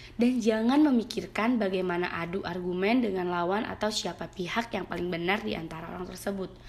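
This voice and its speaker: The speaker is a woman with a medium-pitched voice. Her intonation varies in an ordinary way. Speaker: university student. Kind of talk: reading aloud prepared exam answers. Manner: reading from script with occasional hesitations.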